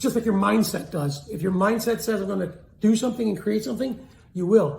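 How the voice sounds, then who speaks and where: A man talks with an energetic tone at a fairly quick pace. His pitch variation is ordinary, and the room echo is audible. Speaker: sales and communication coach. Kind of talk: motivational talk to camera.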